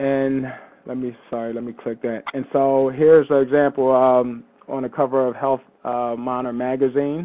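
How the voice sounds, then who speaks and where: With an American accent, a man speaks in a dark, mellow tone at medium pitch and a moderate pace, his intonation monotone and flat. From US Northeast, Philadelphia. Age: 40s. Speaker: panelist living with diabetes, personal trainer. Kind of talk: personal testimony presentation. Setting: webinar.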